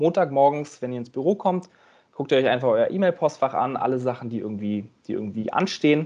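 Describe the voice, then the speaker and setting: Lively in intonation, a man talks at a fairly quick pace with a fairly high pitch and a dark, mellow tone. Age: 30s. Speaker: management consultant. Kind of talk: interview. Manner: halting, frequent word repetitions.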